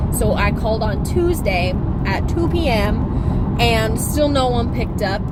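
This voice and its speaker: An animated voice with an American accent speaks at a fairly slow pace. Room echo is audible, and background noise is noticeable. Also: woman, very even loudness. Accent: slight southern drawl when heated. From Kansas. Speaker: vlogger. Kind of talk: casual rant. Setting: in a car.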